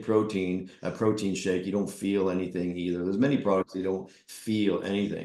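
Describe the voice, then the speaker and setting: A normal speaking voice moves at a fairly quick pace, its pitch varying in an ordinary way. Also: man. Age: 50s. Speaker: vendor representative. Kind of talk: product pitch on video call. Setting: video call.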